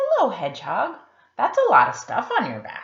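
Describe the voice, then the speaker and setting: A croaky, put-on character voice delivers its lines at a moderate pace. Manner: friendly greeting.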